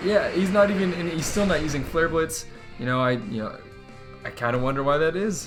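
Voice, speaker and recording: Music plays in the background as a man speaks at a fairly quick pace. His pitch is fairly high and his intonation lively. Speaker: commentator auditioning for Pokémon tournament commentary. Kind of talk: esports-style gameplay commentary.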